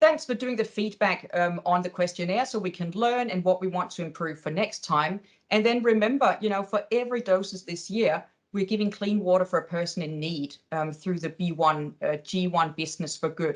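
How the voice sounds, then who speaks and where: A woman speaks at a medium pitch and a moderate pace. She has a Danish accent. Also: ordinary pitch variation. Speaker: webinar host. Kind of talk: webinar wrap-up.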